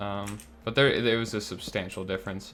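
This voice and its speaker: Quiet and fairly low in pitch, a man talks at a fairly quick pace with fairly even intonation. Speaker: gaming YouTuber. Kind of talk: gameplay commentary. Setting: home recording, roommates asleep. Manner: quiet, keeping voice low; relaxed, chill.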